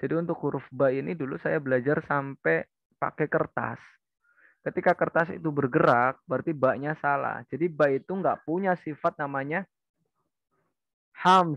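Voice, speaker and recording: A man with a fairly high pitch talks at a moderate pace with fairly even intonation. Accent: strong Central Javanese. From Tegal, Central Java. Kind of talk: teaching, explaining Arabic letter pronunciation.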